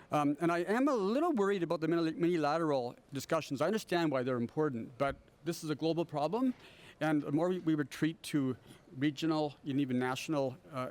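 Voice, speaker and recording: This man has a normal speaking voice, pitched fairly high. He talks at a fairly quick pace with ordinary pitch variation. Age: 60s. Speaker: professor, panelist. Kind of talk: panel discussion.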